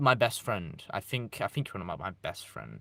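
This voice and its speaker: A man with a British accent speaks in a bright, sharp tone, his pitch swinging very widely. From East Midlands, England. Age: young. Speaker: YouTuber live streamer. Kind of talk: casual live stream chat. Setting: live stream. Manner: casual, halting with restarts.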